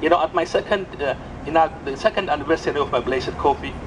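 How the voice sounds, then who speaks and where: Noticeable background noise sits behind a man speaking. He has an Ethiopian accent and a fairly high voice. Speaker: coffee entrepreneur and community organizer. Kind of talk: impassioned outdoor rally speech denouncing exploitation of coffee farmers. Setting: outdoors at a rally with crowd. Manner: fervent, moralizing, building to indignant repetition; halting, with frequent restarts and repeated words. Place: street. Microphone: pa.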